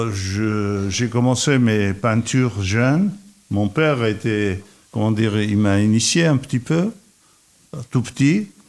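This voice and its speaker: A man with an Armenian accent speaks at a very slow pace, with long, frequent pauses. His pitch is medium, its variation ordinary, and his loudness very even. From Iraq. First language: Armenian (speaking French). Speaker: painter and architect. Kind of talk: radio interview.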